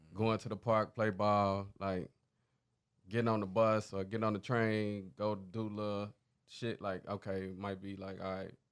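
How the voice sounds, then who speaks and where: Over a quiet background, a man with an American accent speaks in a monotone, flat way at a fairly slow pace and a fairly low pitch. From Chicago, US Midwest. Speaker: DJ and music producer. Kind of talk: casual interview chat.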